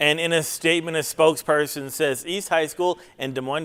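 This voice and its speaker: Using a normal speaking voice, a man talks at a fairly quick pace, his pitch fairly high with ordinary pitch variation. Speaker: television news reporter. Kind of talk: TV news reporting.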